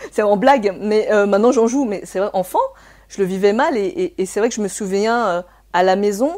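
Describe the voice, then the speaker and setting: Speaking in a Cantonese accent, a woman talks at a moderate pace in a medium pitch with ordinary pitch variation. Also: very clean recording, silent background. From France, raised by Chinese immigrant parents. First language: Cantonese (speaking French). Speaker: therapist. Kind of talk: interview. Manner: hesitant, many fillers.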